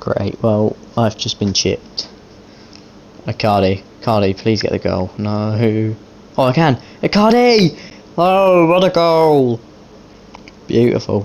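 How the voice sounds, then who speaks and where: A man at medium pitch talks at a very slow pace, with long, frequent pauses and very wide pitch swings. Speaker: gaming YouTuber. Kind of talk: live commentary over video game football match. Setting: gaming video with voiceover. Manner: informal, chatty, addressing viewers and players as 'mate'.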